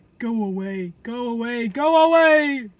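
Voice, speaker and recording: Someone uses a put-on character voice at a fairly high pitch and a fairly slow pace. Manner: crying out in pain, desperate.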